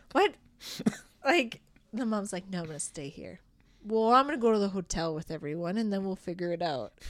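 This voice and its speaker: Lively intonation and big swings in loudness mark this woman's medium-pitched voice. She speaks with an Albertan accent and takes long, frequent pauses. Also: fairly quick pace. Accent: Canadian (Alberta). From Alberta, Canada (Rocky Mountain House). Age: 30s. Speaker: improv theatre director and performer. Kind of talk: casual chat.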